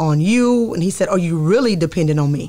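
Over a quiet background, a woman with an American accent speaks in a dark, mellow tone at a fairly low pitch. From Texas. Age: 40s. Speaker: pastor. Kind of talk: interview testimony. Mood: reflective, earnest storytelling. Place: studio. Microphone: studio mic.

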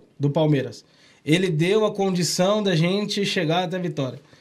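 A man talks with ordinary pitch variation. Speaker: podcast host. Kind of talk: casual chat. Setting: studio. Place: studio. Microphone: studio mic.

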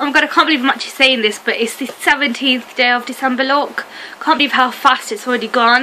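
Over light background noise, a woman talks at a very fast pace. Her voice is raised and projected. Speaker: beauty vlogger. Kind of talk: makeup tutorial chat. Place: home room. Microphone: webcam.

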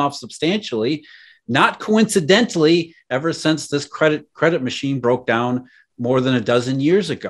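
Speaking in an American accent, a man uses lively intonation at a fairly quick pace. The background is quiet. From US Rust Belt. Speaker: economist and podcast host; podcast host. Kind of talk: interview. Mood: earnest, explanatory. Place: home room. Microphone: webcam.

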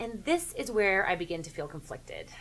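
A woman at a fairly quick pace, with very wide pitch swings. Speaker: sports commentary show host. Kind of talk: commentary. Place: home room.

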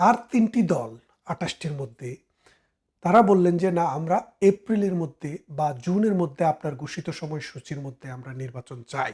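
A man speaks at a fairly high pitch, with big swings in loudness. The recording is very clean, with a silent background. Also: lively intonation. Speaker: political commentator, barrister. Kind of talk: political commentary monologue. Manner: animated, emphatic.

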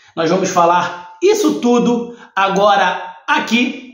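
The man's voice sits high in pitch. There is audible room echo, but the background is quiet. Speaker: football channel host. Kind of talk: commentary. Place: home room.

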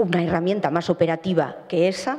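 A woman speaks at a fairly quick pace with fairly even intonation, her fairly low voice slightly mellow in tone with a slightly husky edge.

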